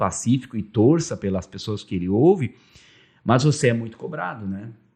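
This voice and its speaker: Against a quiet background, a man speaks at a moderate pace in a medium pitch. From Vale do Taquari, southern Brazil (German-Brazilian rural area). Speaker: radio broadcaster and media executive. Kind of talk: interview conversation. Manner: halting, repeats words.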